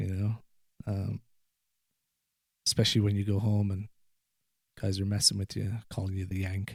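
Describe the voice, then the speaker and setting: A man speaks at a moderate pace with long, frequent pauses, his voice fairly low, somewhat breathy and monotone, with flat intonation. The recording is very clean with a silent background. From Ireland. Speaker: podcast guest. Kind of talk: casual conversation.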